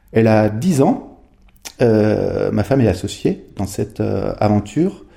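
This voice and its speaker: A man's fairly low voice has a dark, mellow tone with vocal fry. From Haute-Savoie, French Alps (Megève). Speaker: entrepreneur, former biathlete. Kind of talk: podcast interview. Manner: halting, many repetitions and hesitations.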